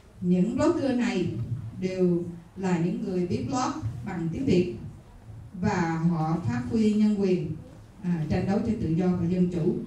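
Here a woman speaks at a very slow pace. There is audible room echo and light background noise. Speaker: women's organization leader. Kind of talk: speech presenting a book. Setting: stage with audience. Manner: halting, many fillers.

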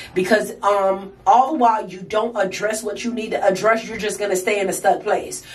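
At a moderate pace with hardly any pauses, the voice stays monotone and flat while its loudness swings widely over noticeable background noise. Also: woman, medium pitch for a woman. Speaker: vlogger. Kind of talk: casual vlog monologue. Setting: bathroom, home video.

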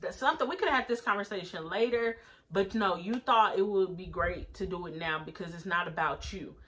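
A woman talks very fast, her tone animated and her intonation lively. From United States. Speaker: YouTuber reviewing TV episodes. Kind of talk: casual vlog review. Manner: laughs often. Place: home room. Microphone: phone near.

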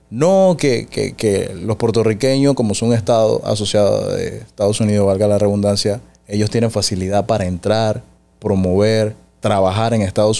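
A man speaks at a moderate pace in a fairly low pitch. His tone is dark and mellow. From Panama. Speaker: podcast host. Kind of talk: interview. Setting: studio. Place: studio. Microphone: studio mic.

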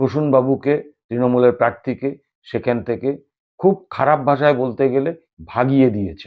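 A man with a medium pitch speaks in a plain, everyday voice with ordinary pitch variation. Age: 50s. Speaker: YouTube political commentator. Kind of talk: political news commentary monologue.

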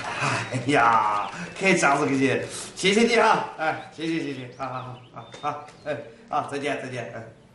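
Amid light background noise and audible room echo, a man speaks fairly slowly at a fairly high pitch, his loudness swinging widely. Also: lively intonation. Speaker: TV sitcom actor. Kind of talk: phone call in sitcom scene. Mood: cheerful, polite. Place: office.

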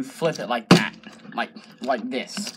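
A man speaks over noticeable background noise. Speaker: YouTuber. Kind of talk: casual chat.

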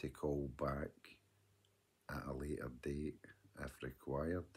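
With a west of Scotland accent, a man speaks very slowly in a very deep, low pitch with monotone, flat intonation. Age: 50s. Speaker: vlogger. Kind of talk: video diary monologue. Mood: earnest, advising. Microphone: phone near.

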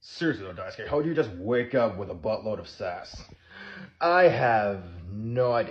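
A man talks at a moderate pace, sounding somewhat breathy. His loudness swings widely. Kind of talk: character roleplay skit dialogue. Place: home room. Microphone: phone near.

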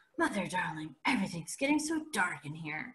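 Putting on a character voice, a woman talks at a fairly quick pace in a medium pitch with very wide pitch swings. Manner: mock-dramatic, joking.

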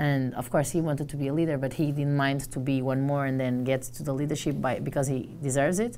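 A woman speaks in a Portuguese accent with a very deep, low pitch and a dark, mellow tone. Light background noise is audible. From Portugal. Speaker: journalist and trainer. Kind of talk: casual interview. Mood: animated, friendly. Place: office. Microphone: lapel.

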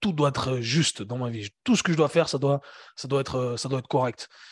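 A man talks with fairly even intonation at a medium pitch, in an unremarkable speaking voice. The sound is dry and close, with no echo. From Switzerland, Geneva. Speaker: fitness coach and entrepreneur. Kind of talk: casual interview conversation.

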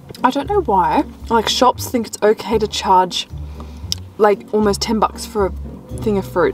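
The sound is dry, with no echo. Faint music plays in the background. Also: moderate pace. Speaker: vlogger. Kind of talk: casual vlog chat. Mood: relaxed, chatty. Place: car. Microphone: phone near.

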